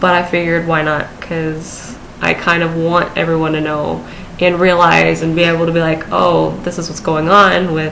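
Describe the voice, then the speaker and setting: A woman's fairly low, monotone voice with flat intonation at a moderate pace, with audible room echo and noticeable background noise. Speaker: vlogger. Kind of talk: personal vlog. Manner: hesitant, many fillers.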